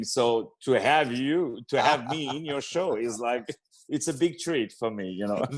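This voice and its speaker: With a French accent, the speaker goes at a fairly slow pace with ordinary pitch variation against a quiet background. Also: man. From France, Paris. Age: young. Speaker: opera singer and actor. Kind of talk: interview. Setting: radio interview.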